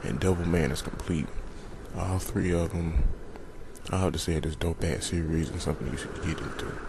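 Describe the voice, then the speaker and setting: Whispering at a fairly quick pace with long, frequent pauses, a man is heard over noticeable background noise and audible room echo. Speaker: YouTuber in collab video. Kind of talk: casual video monologue.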